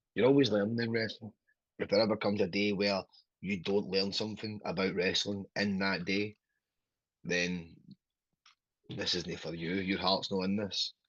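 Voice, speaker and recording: A man with a Glasgow accent at a moderate pace, fairly even intonation, long and frequent pauses, and a quiet background. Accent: Scottish (Glasgow area). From Scotland. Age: 30s. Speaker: professional wrestler. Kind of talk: interview. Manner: halting.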